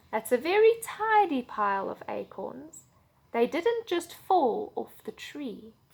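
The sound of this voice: This is an unforced reading voice. Nothing more marks it.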